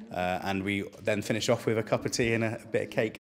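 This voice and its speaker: Over noticeable background noise, a man talks very fast at a fairly low pitch in a monotone, flat intonation. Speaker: fitness instructor. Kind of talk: interview. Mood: positive, proud. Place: hall.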